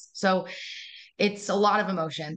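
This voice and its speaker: With an American accent, a woman speaks in an unremarkable speaking voice, fairly low in pitch and fairly even in intonation. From United States and Israel. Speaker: educator. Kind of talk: interview.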